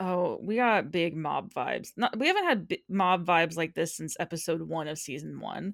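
Using hardly any pauses, a woman with a fairly low pitch talks at a moderate pace with vocal fry and ordinary pitch variation. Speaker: podcast host. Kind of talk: casual chat. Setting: remote recording with microphones. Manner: soft-spoken; laughs often.

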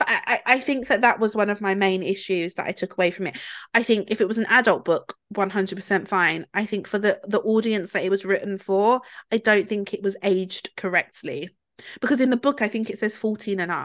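Speaking at a fairly quick pace with a British accent, a woman uses a medium pitch and fairly even intonation. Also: quiet background. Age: 20s. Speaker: podcast co-host. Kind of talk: casual chat.

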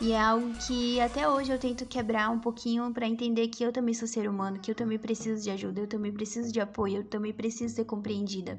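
With noticeable background noise, a woman speaks at a fairly high pitch with fairly even intonation. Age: 20s. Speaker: podcast host. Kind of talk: casual monologue.

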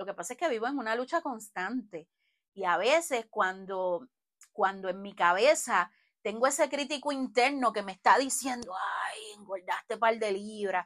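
In a very clean recording with a silent background, a woman with a fairly high voice speaks at a moderate pace in an animated tone, her intonation lively and her loudness swinging widely. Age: 40s. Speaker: podcast host. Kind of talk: solo podcast monologue. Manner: conversational, animated.

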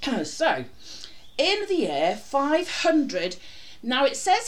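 In a room with audible echo, a woman talks at a very slow pace with very wide pitch swings. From North East England. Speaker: podcast host. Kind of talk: casual chat.

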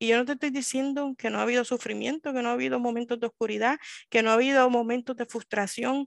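The woman's high-pitched voice moves at a fairly quick pace, with a dry, close sound with no echo and a quiet background. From Puerto Rico, Río Piedras. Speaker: librarian. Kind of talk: interview.

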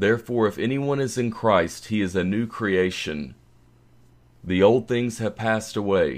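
A man talks at a fairly slow pace in an ordinary speaking voice. His pitch is fairly low, with ordinary variation. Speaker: scripture reader. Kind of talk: scripture reading. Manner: slow, measured, reverent; formal, solemn.

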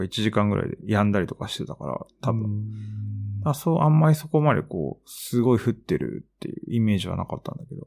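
Over a very clean recording with a silent background, a man of medium pitch speaks at a fairly quick pace, his pitch swinging very widely. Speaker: podcast co-host, art practitioner. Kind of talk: casual chat.

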